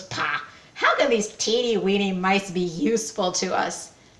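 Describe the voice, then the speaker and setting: This is a put-on character voice. It sounds female, with a middle pitch. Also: moderate pace. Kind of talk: storyteller acting a role. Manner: pompous, scornful.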